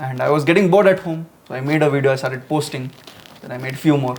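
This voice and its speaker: A man talks at a very fast pace in a fairly high voice. His loudness swings widely over noticeable background noise. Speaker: YouTuber and podcast host. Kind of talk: casual chat. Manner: loud, shouting.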